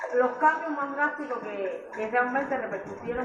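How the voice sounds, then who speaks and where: A woman speaks over noticeable background noise. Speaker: woman business director. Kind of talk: interview answer.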